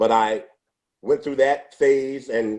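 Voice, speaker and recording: Speaking in a New York accent, a man keeps his intonation fairly even. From New York City, Brooklyn. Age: 60s. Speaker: former salesman. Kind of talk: interview.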